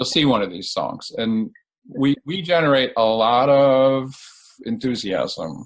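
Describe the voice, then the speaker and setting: Lively intonation carries this speech along at a very slow pace. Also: man, medium pitch for a man. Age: 70s. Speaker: therapist. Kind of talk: interview. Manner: halting, repeats words.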